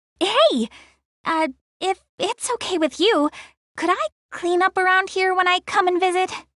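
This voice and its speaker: A woman's squeaky put-on character voice, extremely high in pitch, with lively intonation at a moderate pace. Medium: video game. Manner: talkative, flustered, stammering.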